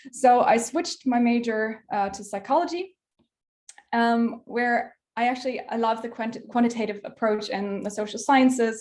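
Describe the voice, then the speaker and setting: A woman with a German accent talks at a moderate pace in a fairly high pitch. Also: ordinary pitch variation. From southern Germany, near Munich. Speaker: PhD researcher, workshop speaker. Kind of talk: online workshop lecture. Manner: hesitant, many filler words.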